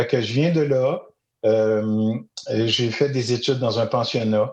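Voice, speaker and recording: A man talks at a very slow pace and medium pitch, keeping his loudness very even. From Quebec, Eastern Townships (Magog). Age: 60s. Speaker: storyteller and educator. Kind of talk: podcast interview. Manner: hesitant, many fillers.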